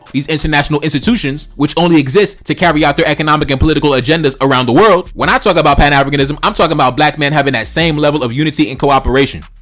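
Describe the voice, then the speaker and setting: Music plays in the background as a man talks at a very fast pace. His fairly high voice has an animated tone. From Brooklyn, New York, with early childhood in Haiti. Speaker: political commentator YouTuber. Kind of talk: casual monologue commentary. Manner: animated, profane.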